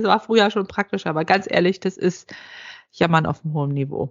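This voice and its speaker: A woman talking at a very fast pace with lively intonation. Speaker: podcast host, healthcare worker. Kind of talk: casual chat.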